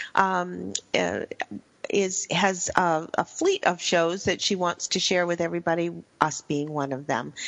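Speaking at a fairly slow pace, a woman uses a fairly low pitch and fairly even intonation. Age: 60s. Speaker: radio show host. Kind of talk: scripted show intro/outro; casual talk radio interview. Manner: halting, many fillers.

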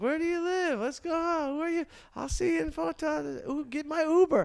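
The speaker uses a put-on character voice. Delivery stays at a moderate pace. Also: man, extremely high pitch for a man. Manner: flirtatious, excited.

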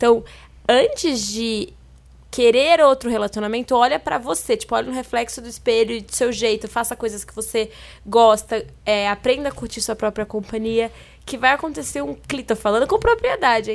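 At a moderate pace, a woman with a plain, everyday voice speaks at a fairly high pitch, with ordinary pitch variation and big swings in loudness. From Minas Gerais, Brazil. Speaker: Instagram influencer. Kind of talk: casual chat.

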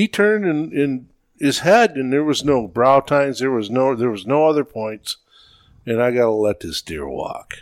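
An unremarkable speaking voice with lively intonation moves at a moderate pace. The sound is dry and close, with no echo. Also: man, medium pitch for a man. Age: 60s. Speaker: veteran deer hunter. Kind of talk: casual chat.

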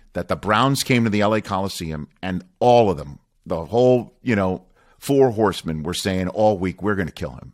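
Speaking with an American accent, a man has a fairly low pitch with ordinary pitch variation. He talks at a fairly quick pace on a very clean recording with a silent background. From New York. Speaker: podcast host and sportscaster. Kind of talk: casual interview chat.

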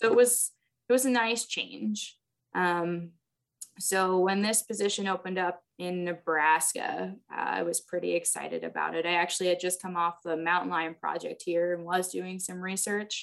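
With an American accent, a woman speaks in an unremarkable speaking voice at a fairly low pitch. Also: ordinary pitch variation, moderate pace. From New York City. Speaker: wildlife depredation biologist. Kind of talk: interview. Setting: video call.

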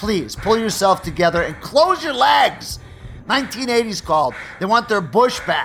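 A man puts on a character voice, high in pitch with big pitch swings and vocal fry, at a moderate pace. His tone is fairly bright, with faint background noise.

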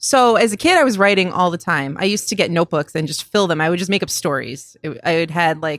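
Speaking very fast, a woman with a Buffalo accent has a fairly low pitch. The recording is very clean, with a silent background. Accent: Western New York (Buffalo). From Western New York, Buffalo area (Cheektowaga). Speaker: sports TV producer. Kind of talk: casual interview chat. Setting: coffee shop.

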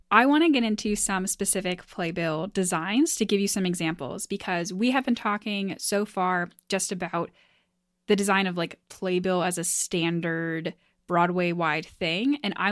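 A woman with an unremarkable speaking voice and medium pitch talks at a moderate pace with ordinary pitch variation, recorded very cleanly against a silent background. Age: 20s. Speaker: podcast host. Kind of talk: casual chat. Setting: home office.

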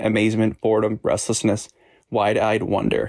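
On a very clean recording with a silent background, a man with a medium-pitched voice talks at a moderate pace in an enthusiastic tone, the sound dry and close with no echo. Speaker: author's husband. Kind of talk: recorded book review.

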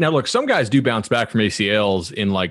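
Against a quiet background, a man with an unremarkable speaking voice talks at a fairly quick pace and a fairly low pitch. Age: 30s. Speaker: sports podcast host. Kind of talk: casual chat.

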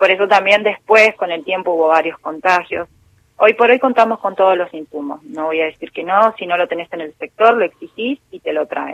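An ordinary speaking voice from a woman at medium pitch and moderate pace, with ordinary pitch variation and big swings in loudness. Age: 40s. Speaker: intensive care nurse. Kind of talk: interview.

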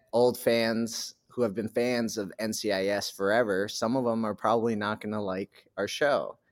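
A plain, everyday voice with an American accent, at a moderate pace. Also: man. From New Hampshire, US. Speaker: actor. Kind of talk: casual interview.

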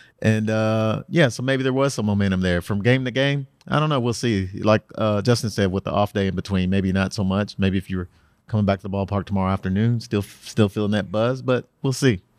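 A man with an ordinary speaking voice talks at a fairly quick pace with hardly any pauses, his fairly low pitch showing ordinary variation. The recording is very clean and silent in the background, with a dry, close sound and no echo. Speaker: sports columnist. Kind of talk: casual sports analysis.

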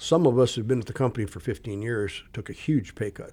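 A man at a medium pitch with a dark, mellow, somewhat breathy tone and a fairly quick pace, on a very clean recording with a silent background. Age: 60s. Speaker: retired Air Force pilot. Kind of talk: casual interview, storytelling.

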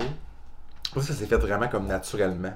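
A Quebec accent with vocal fry at a moderate pace. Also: man. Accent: Québécois French. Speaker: comedian. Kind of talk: casual chat.

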